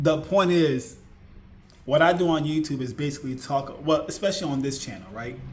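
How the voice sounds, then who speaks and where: A man's fairly high voice with ordinary pitch variation at a moderate pace, plus audible room echo. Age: 40s. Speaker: YouTuber, IT support worker. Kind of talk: casual vlog monologue. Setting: at home. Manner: repetitive, conversational.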